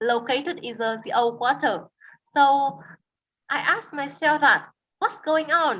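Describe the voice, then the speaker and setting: With a Vietnamese accent, a woman speaks at a high pitch with lively intonation and a bright, sharp tone. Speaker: tour guide. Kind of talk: interview. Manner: halting, with many fillers and repetitions.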